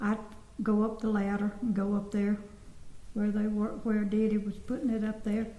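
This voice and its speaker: A woman with an American accent speaks in a fairly high voice at a moderate pace, with monotone, flat intonation and very even loudness. Noticeable background noise and audible room echo are present. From US South, Georgia (Sparta). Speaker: former resident recalling childhood. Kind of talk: oral history interview.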